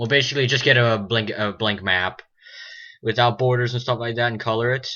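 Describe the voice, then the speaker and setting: The speaker talks at a fairly quick pace. The intonation stays fairly even. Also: man, medium pitch for a man. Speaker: mapping video creator. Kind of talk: tutorial. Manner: halting, many fillers.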